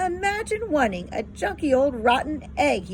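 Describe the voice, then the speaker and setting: Moderate pacing in a put-on character voice, clear noise in the background. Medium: read story.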